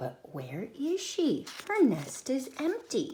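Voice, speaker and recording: A female-sounding voice does a put-on character voice, high-pitched and very slow. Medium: read story.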